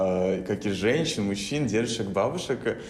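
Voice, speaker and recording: There is noticeable background noise as a man talks at a moderate pace with a very deep, low pitch. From Belarus. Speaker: podcast host. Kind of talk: casual chat.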